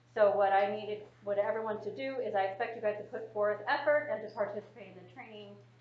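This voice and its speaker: A woman talks at a very fast pace with a medium pitch and ordinary pitch variation. Audible room echo and noticeable background noise are present. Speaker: trainer. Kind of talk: training session.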